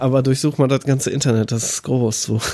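Intonation stays fairly even while the talk holds a moderate pace. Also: man. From North Rhine-Westphalia. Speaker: sound and music producer. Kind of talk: casual chat.

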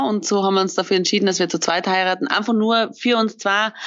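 Words come out at a very fast pace, and the pitch moves up and down in an ordinary way. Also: woman. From Austria. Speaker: wedding photographer. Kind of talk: casual interview. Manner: halting, many fillers.

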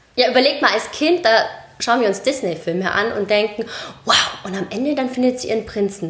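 Over noticeable background noise, a woman speaks with lively intonation. Her pitch is fairly high and her pace fairly quick. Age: 20s. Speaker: podcast co-host. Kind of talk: casual chat.

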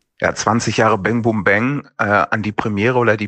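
Medium-pitched male voice at a moderate pace with flat, monotone intonation. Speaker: son of a late actor. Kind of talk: recorded voice message answers. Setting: voice message.

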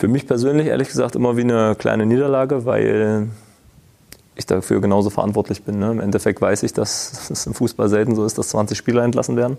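Very fast speech from a man at a fairly low pitch, ordinary pitch variation, and noticeable background noise. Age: 30s. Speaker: professional footballer, team captain. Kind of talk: interview. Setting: stadium.

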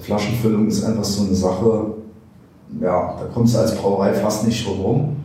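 Amid noticeable background noise and audible room echo, a man talks at a moderate pace with medium pitch and fairly even intonation. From Saarland, Neunkirchen. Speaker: brewer. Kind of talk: interview. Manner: hesitant, many fillers.

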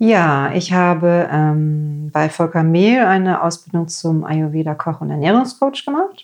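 In a normal speaking voice, a woman talks at a fairly slow pace with hardly any pauses, her pitch fairly low with ordinary variation. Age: 40s. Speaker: lab technician and ayurveda cook. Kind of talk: casual interview chat.

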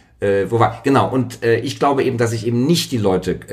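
With vocal fry in his voice, a man talks at a moderate pace using lively intonation. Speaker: podcast guest. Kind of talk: casual chat. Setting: dressing room.

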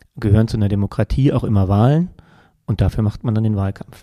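With a dark, mellow tone and ordinary pitch variation, a man speaks at a fairly quick pace in a dry, close sound with no echo, on a very clean recording with a silent background. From Koblenz area, Rhineland-Palatinate, Germany. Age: 40s. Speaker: politician. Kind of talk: interview. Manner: hesitant with fillers.

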